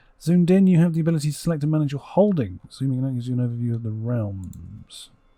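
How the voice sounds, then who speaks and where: A man with an English accent talks very fast at a fairly high pitch. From England. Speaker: gaming YouTuber. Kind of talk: let's play commentary. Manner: animated; halting.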